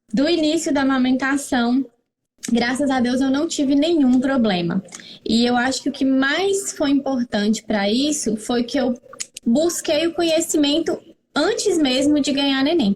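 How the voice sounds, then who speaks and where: A woman speaks at a high pitch and a fairly slow pace. Her loudness stays very even throughout. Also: lively intonation. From Brazil, northern Minas Gerais (Montes Claros). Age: 30s. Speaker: pharmacist and mother sharing experience. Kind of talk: interview, personal testimony. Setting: live stream.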